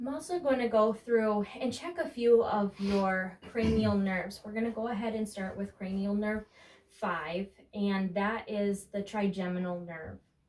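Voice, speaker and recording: In a calm tone, a woman speaks at a fairly slow pace and medium pitch with ordinary pitch variation, over noticeable background noise. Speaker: nursing student or nurse. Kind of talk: demonstration of a physical exam. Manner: calm, instructive.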